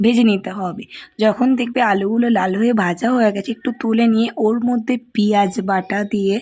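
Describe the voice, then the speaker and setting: Somewhat breathy and dark, mellow in tone, a woman speaks in a fairly high pitch with fairly even intonation. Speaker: cooking vlogger. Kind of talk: recipe tutorial voiceover.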